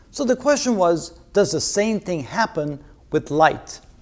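At a moderate pace, a man speaks in a high pitch with very wide pitch swings. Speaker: physics lecturer. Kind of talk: lecture. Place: studio. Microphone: lapel.

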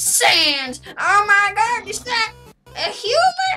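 In a put-on character voice pitched extremely high, the speaker talks at a very slow pace over faint background music. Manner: surprised, excited.

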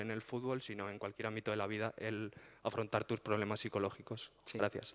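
The background stays quiet as a man talks. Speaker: student council member. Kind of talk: audience question. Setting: university auditorium. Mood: polite, thoughtful. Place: hall.

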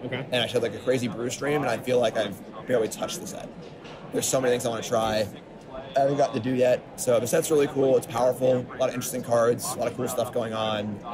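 There is noticeable background noise behind a man of medium pitch. He talks at a very fast pace with fairly even intonation. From US Northeast, Long Island. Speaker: professional card game player. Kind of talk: casual chat. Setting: at a card game tournament venue.

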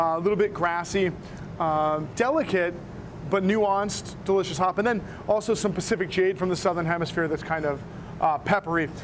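A man talks at a high pitch with ordinary pitch variation and very even loudness. His pace is fairly quick, and noticeable background noise is present. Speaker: guest. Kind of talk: interview answer. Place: bar.

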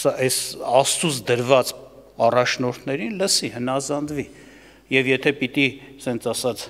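This man talks at a moderate pace, keeping his intonation fairly even. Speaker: preacher. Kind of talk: sermon. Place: church. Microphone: podium.

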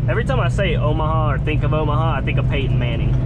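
Loud background noise surrounds speech delivered at a fairly quick pace. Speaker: truck driver vlogger. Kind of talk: casual vlog chat. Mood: mildly defensive, joking. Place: car. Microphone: camera far.

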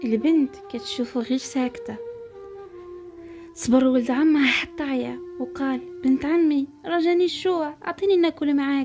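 Over music in the background, a woman with a Moroccan accent speaks at a high pitch and a fairly slow pace, with a calm tone and lively intonation. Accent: Moroccan Arabic (Darija). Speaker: storyteller. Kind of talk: folk tale narration for relaxation and sleep.

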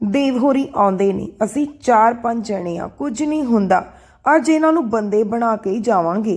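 The text is being read aloud. The reader sounds natural.

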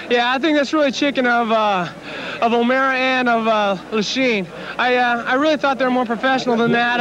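A man with an extremely high pitch speaks at a fairly quick pace with ordinary pitch variation. The sound is dry with no echo, though noticeable background noise is present. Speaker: professional motocross racer. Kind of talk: interview answer to a reporter. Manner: indignant, forceful, speaking with conviction. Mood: indignant, frustrated. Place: stadium. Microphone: handheld.

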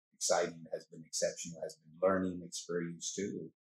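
A man speaks at a moderate pace with an American accent. The sound is dry and close, with no echo. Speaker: city mayor. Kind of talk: casual interview. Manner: animated.

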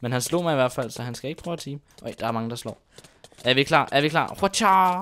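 Bright and sharp in tone, a man speaks at a fairly quick pace with a fairly high pitch and lively intonation. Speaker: gaming YouTuber. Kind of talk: gameplay commentary. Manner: hesitant, many fillers.

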